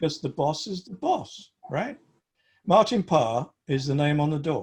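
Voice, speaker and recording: A man speaks at a moderate pace, somewhat breathy, with lively intonation. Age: 70s. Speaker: photography group presenter. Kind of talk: group discussion. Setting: video call. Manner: animated.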